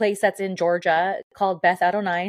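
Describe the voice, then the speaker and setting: A medium-pitched woman at a moderate pace. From Southern California, Mexican-American. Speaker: former pro wrestler and radio host. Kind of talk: casual chat. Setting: video call.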